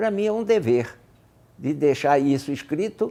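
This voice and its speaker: This man has a fairly high pitch and a dark, mellow tone. He speaks at a fairly slow pace with lively intonation. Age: 80s+. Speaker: retired aviator and author. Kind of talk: interview. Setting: video interview.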